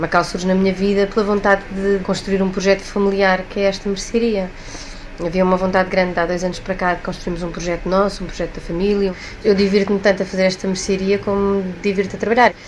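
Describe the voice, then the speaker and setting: Through noticeable background noise, a woman talks at a very fast pace with a medium pitch and monotone, flat intonation. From Portugal. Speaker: actress and shop owner. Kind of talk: interview.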